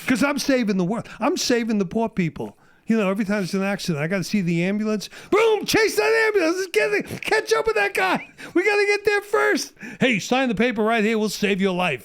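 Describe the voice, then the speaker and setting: This man speaks with a New York accent. His pace is fairly quick. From Brooklyn, New York. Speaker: Vietnam War veteran. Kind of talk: podcast interview answer. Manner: animated, ranting.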